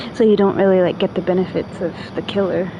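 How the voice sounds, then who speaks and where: Noticeable background noise sits behind a woman speaking at a moderate pace and medium pitch, in an American accent. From New York. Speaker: video game streamer. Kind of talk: casual gameplay livestream chat. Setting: livestream with a friend.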